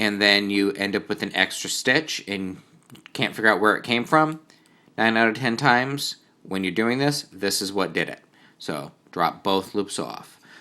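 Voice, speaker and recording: With a New England accent, a man speaks at a moderate pace in a fairly low pitch, with a bright, sharp tone and ordinary pitch variation, on a very clean recording with a silent background. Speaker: knitting teacher. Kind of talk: tutorial. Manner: casual.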